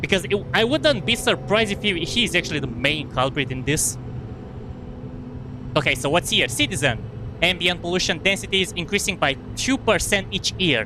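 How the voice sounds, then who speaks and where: In a Romanian accent, a man talks at a high pitch and a fairly quick pace, with very wide pitch swings, long, frequent pauses and noticeable background noise. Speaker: gaming streamer. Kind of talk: live gameplay commentary. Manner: fast; halting, self-correcting.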